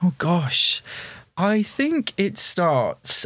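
A man's voice with noticeable background noise. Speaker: theatre performer and theatre school owner. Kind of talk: casual chat.

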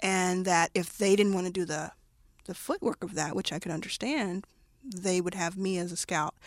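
In an American accent, a plain, everyday voice speaks at a moderate pace with ordinary pitch variation. The recording is very clean, its background silent. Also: woman, medium pitch for a woman. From US South, Dallas, Texas. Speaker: venture capitalist. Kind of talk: interview.

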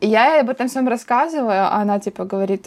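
An unremarkable speaking voice, moderate in tempo, with ordinary shifts in pitch. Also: woman. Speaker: podcast host. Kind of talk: casual chat.

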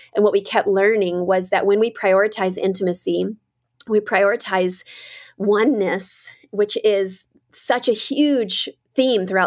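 A woman with an ordinary speaking voice talks at a medium pitch and a fairly slow pace, with fairly even intonation, on a very clean recording with a silent background. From US South. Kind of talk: interview conversation.

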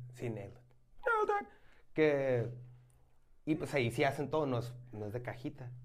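A somewhat breathy man at a moderate pace, with ordinary pitch variation and long, frequent pauses. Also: medium pitch for a man. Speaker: beer podcast host. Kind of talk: casual chat.

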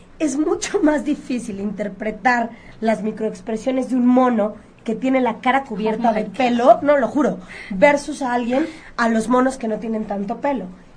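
A woman speaks in a Mexican accent at a moderate pace. Her pitch is fairly high, with ordinary variation. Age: 30s. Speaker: image consultant. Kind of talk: radio interview.

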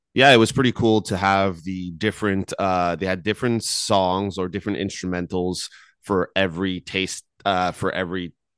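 A man's very deep, low voice at a moderate pace, fairly even in intonation, dry and close with no echo, over a quiet background. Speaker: podcast host. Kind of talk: casual chat. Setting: studio. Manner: loud.

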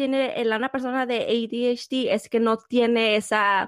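Speaking in a Mexican accent, a woman holds a high pitch with monotone, flat intonation. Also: very clean recording, silent background. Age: 30s. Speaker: podcast co-host. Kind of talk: casual chat.

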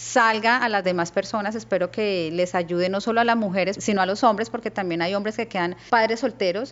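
Speaking at a fairly quick pace, a woman uses an ordinary speaking voice. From Colombia, Cali. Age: 40s. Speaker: businesswoman. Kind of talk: interview.

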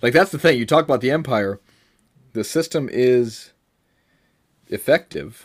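At a moderate pace, a man speaks with ordinary pitch variation. Long, frequent pauses break up his speech. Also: medium pitch for a man. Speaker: podcast host. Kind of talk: casual chat. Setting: remote recording over internet.

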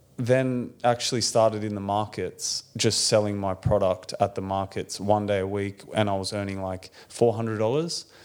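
In a very clean recording with a silent background, a man with an Australian accent talks at a fairly slow pace, fairly low in pitch and fairly even in intonation. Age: 30s. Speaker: bakery owner. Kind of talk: interview. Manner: casual.

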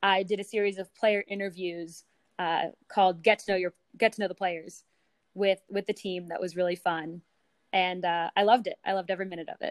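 A plain, everyday voice with an American accent, fairly quick delivery, fairly even intonation and a dry, close sound with no echo. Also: woman. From US West Coast, San Francisco. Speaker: sports communications director. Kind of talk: interview.

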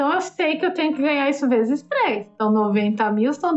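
A woman's intonation rises and falls in a lively way while music sounds in the background. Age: 50s. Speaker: travel blogger and travel agent. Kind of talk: interview, casual chat.

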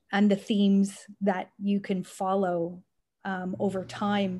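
Speaking at a fairly slow pace with a Canadian accent, a woman sounds somewhat breathy at medium pitch on a very clean recording with a silent background. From Canada, Richmond Hill, Ontario. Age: 50s. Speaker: nonprofit foundation president. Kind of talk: interview.

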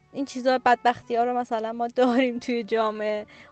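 With music in the background, a woman of fairly high pitch speaks in a monotone, flat intonation at a moderate pace. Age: 30s. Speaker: freelance illustrator. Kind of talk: casual chat. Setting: video call.

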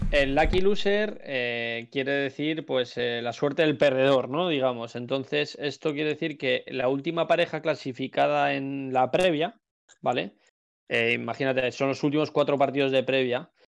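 A plain, everyday voice from a man, fairly high in pitch with ordinary variation, at a moderate pace against a quiet background. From Spain, Madrid area (Alcobendas). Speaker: professional padel player. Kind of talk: casual chat. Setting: Twitch live stream.

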